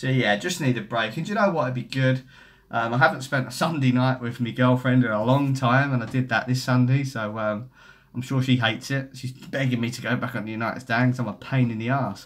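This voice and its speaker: A man with a Cockney accent talks at a fairly quick pace and medium pitch with fairly even intonation. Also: very clean recording, silent background. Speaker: football YouTuber. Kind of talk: live stream chat reading comments. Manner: casual, rambling.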